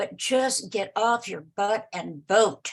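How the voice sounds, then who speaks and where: A woman with a fairly high pitch and vocal fry speaks at a very slow pace with lively intonation. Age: 70s. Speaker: women's network member. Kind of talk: casual chat. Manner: animated.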